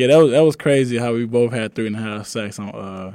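The speaker is a man with an American accent. His pace is fairly quick and his pitch variation ordinary. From East Texas. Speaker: college football player. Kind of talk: radio interview. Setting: studio.

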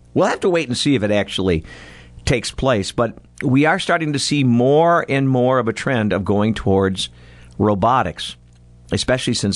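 At a moderate pace, a man speaks in a plain, everyday voice with lively intonation. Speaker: radio host. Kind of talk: radio DJ patter, casual morning-show banter. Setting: studio. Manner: chatty, upbeat, joking.

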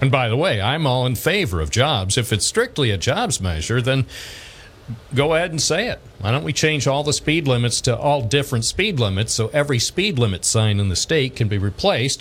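Somewhat breathy and with an American accent, a man at a medium pitch talks at a fairly quick pace with very wide pitch swings. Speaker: radio talk show host. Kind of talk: call-in talk radio. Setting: radio studio. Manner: wry, sarcastic humor.

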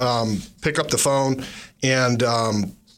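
Audible room echo carries a man's voice, which has ordinary pitch variation. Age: 40s. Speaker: real estate agent, radio show host. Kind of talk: casual radio chat. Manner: animated.

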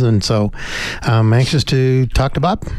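A man speaks over noticeable background noise. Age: 60s. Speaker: sports radio co-host. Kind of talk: casual chat.

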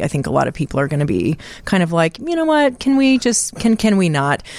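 A woman talks at a moderate pace. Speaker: film festival director. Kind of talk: casual chat. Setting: studio.

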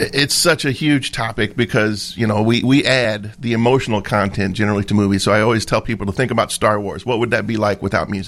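This is an ordinary speaking voice with an American accent. The pace is fairly quick. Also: man. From US Midwest (Brazil, Indiana). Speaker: union president, trumpet player. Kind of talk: radio interview.

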